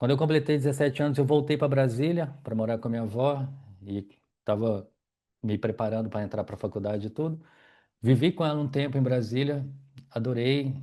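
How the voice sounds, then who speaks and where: A man with a Minas Gerais accent, a dark, mellow tone, ordinary pitch variation, and long, frequent pauses. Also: medium pitch for a man, quiet background. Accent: Minas Gerais (mineiro) Brazilian Portuguese. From Brazil, Minas Gerais. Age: 40s. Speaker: yoga teacher and wheelchair user telling his life story. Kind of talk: personal life story monologue. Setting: at home in living room.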